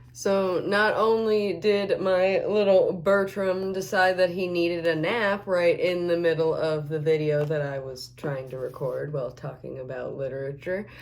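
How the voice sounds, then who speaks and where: With audible room echo around her, a woman of fairly low pitch speaks with hardly any pauses. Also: ordinary pitch variation, moderate pace. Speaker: makeup vlogger. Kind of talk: casual chat while doing makeup. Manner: rambling, with many fillers.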